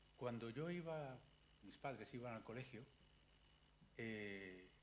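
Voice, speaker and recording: A man speaks with lively intonation and a somewhat breathy voice. Audible room echo surrounds him. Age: 60s. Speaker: psychiatrist. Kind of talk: public lecture. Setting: library talk with audience. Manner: animated.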